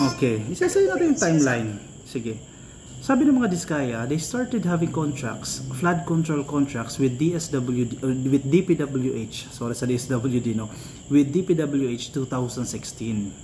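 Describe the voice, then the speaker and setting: A man speaks at a moderate pace with fairly high pitch and ordinary pitch variation. Noticeable background noise runs underneath. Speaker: political commentary vlogger. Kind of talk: political commentary vlog.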